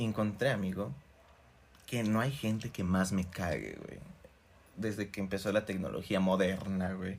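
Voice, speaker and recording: A man speaks with a Mexican accent at a fairly low pitch. His pace is fairly slow, with long, frequent pauses. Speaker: podcast co-host. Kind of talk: casual chat. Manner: animated.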